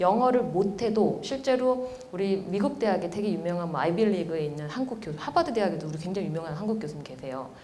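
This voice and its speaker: A woman talks very fast at a medium pitch, her voice swinging very widely up and down. The room echoes audibly, and background noise is noticeable. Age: 40s. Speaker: professor. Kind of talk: lecture. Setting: stage with audience.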